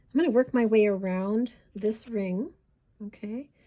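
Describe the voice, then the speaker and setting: Woman's somewhat breathy voice, fairly high in pitch, with a dark, mellow tone and fairly even intonation. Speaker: beading teacher. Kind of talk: tutorial. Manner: slow; conversational.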